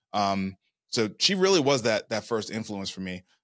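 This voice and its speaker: In a very clean, dry and close recording with no echo and a silent background, a man with a plain, everyday voice and an American accent speaks at a fairly quick pace in a fairly low pitch. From Brooklyn, New York. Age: 40s. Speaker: entrepreneur and fund manager. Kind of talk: interview.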